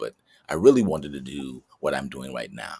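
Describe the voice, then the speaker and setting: A very fast-talking man with an American accent, in a dry, close sound with no echo. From US Midwest (Chicago, Detroit). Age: 60s. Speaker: actor. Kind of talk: interview.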